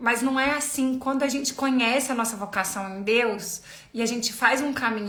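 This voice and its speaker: Background noise is noticeable and room echo is audible. A woman speaks at a moderate pace in a fairly high voice with fairly even intonation. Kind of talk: live stream talk on faith. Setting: live video stream.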